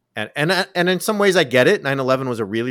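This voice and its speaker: The speaker has an American accent and very wide pitch swings. The recording is very clean, with a silent background. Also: man. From Southern California. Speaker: professor and author. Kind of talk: interview. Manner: animated.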